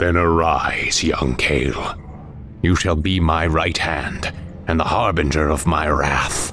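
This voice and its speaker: Over clear background noise, a man does a cartoonish character voice in a very deep, low pitch at a fairly slow pace. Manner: grave, commanding.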